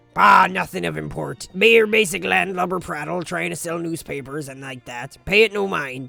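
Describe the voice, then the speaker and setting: This is a put-on character voice. Faint music plays in the background. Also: man, fairly high pitch for a man, moderate pace. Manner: dismissive, commanding.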